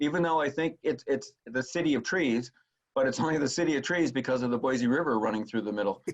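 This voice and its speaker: A man with an ordinary speaking voice at a medium pitch and a fairly quick pace. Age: 60s. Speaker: golf course superintendent. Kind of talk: interview.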